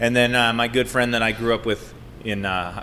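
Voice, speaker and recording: A man with an American accent at a moderate pace, in a monotone, flat intonation. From Colorado, Boulder. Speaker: brewery co-owner. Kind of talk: casual chat.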